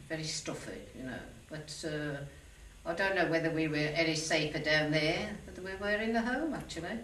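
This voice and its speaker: Amid noticeable background noise and audible room echo, a woman with a fairly low pitch talks at a moderate pace, with ordinary pitch variation and big swings in loudness. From Birmingham, England. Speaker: war veteran. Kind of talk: oral history interview.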